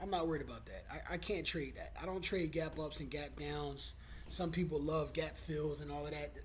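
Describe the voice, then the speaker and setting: The speech moves at a moderate pace, with audible room echo around it. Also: man. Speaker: stock trader. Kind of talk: tutorial. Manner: casual, profane.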